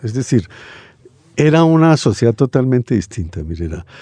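In a dry, close sound with no echo, a man speaks at a medium pitch with a dark, mellow tone. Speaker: writer and sociologist. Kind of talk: radio interview, casual chat.

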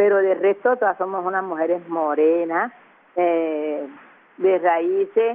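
Speaking very slowly, a woman uses a fairly low pitch with ordinary pitch variation. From Caribbean coast of Colombia, La Boquilla near Cartagena. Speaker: artisan and community leader. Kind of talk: interview.

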